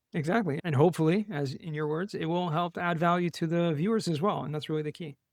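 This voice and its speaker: With an American accent, a man speaks very fast in a high pitch with fairly even intonation. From US West Coast, Los Angeles. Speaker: tax savings specialist, podcast guest. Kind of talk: interview.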